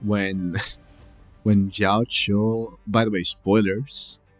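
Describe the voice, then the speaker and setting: With music in the background, a man talks at a very slow pace, recorded dry and close with no echo. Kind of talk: casual gaming commentary.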